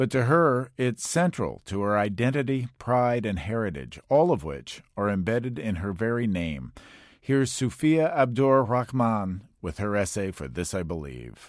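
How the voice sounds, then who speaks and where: Very wide pitch swings mark this man's speech on a very clean recording with a silent background. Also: fairly low pitch for a man, moderate pace. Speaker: host introducing and closing the essay. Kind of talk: news-style introduction, formal narration.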